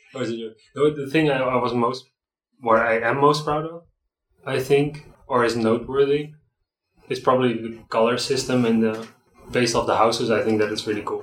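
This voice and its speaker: In a Dutch accent, a man speaks at a moderate pace. His pitch is medium and his intonation fairly even. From Netherlands, between Amsterdam and Rotterdam. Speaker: graphic designer. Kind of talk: casual interview chat. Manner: halting, repeats words.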